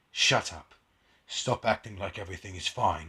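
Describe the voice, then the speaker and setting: Using a put-on character voice, a man speaks raspily at a moderate pace and a fairly low pitch. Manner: dramatic.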